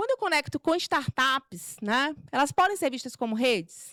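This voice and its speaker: A woman with a Maranhão accent speaks at a high pitch with very wide pitch swings, in a very clean, dry, close recording with no echo and a silent background. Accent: Maranhão accent, kept. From Brazil, Maranhão. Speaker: corporate culture manager giving a talk. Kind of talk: talk at a meetup. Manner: informal, many fillers.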